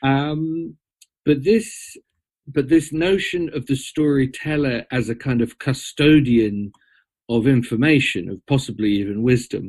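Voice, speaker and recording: Against a quiet background, a man with an English accent talks at a fairly slow pace. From Britain. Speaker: storyteller and mythologist. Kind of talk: interview conversation.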